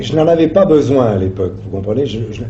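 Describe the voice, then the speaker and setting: A man at a moderate pace, lively in intonation, over noticeable background noise. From Italy. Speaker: actor. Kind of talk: interview answer.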